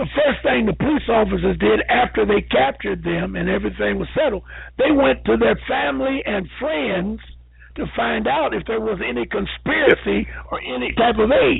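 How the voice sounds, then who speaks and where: A man talks at a moderate speed. Background music accompanies him. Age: 70s. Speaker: caller. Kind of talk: call-in discussion. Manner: animated.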